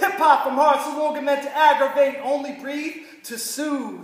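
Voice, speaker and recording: At a moderate pace, a man with an extremely high voice speaks over noticeable background noise. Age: young. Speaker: spoken word poet. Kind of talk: casual introduction; spoken word performance.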